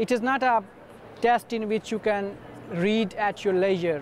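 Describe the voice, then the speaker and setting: A man in a Pakistani accent talks at a very slow pace and a high pitch. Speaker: university student and former TOEFL teacher. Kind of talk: advice talk to camera. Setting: conference booth.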